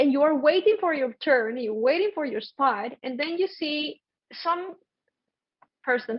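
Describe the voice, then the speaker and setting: With a Spanish accent, the speaker uses lively intonation at a fairly slow pace, leaving long, frequent pauses. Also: woman, high pitch for a woman. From Colombia. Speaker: podcast host. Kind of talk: casual chat. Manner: animated.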